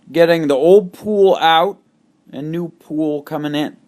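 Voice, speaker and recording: The speaker moves at a very slow pace with ordinary pitch variation. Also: man. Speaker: rowing coach. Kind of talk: tutorial. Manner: loud; animated.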